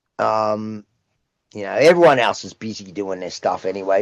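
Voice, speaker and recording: At a moderate pace, a man with an Australian accent speaks in a fairly low pitch with ordinary pitch variation against a quiet background. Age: 60s. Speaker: rock singer. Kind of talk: casual interview chat.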